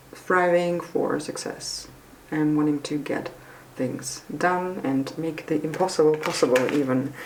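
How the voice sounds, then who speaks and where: Audible room echo and noticeable background noise surround a woman's voice. Her pitch is very deep and low, and her pace fairly slow. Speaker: tarot reader. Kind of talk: tarot reading. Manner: halting, many fillers and restarts; casual, chatty.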